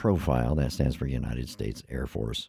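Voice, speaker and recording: Heard in a dry, close sound with no echo, a man speaks in a dark, mellow tone with vocal fry. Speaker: YouTube commentator. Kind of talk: casual commentary. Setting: screen share video. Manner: halting, stumbling.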